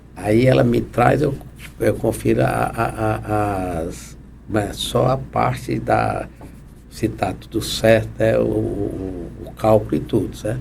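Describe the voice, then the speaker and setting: Over audible room echo, a man speaks at a very slow pace with a very deep, low pitch and very wide pitch swings. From Ceará, Brazil (Guaramiranga). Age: 70s. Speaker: civil engineer and inventor. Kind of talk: interview. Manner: halting, with frequent repetitions.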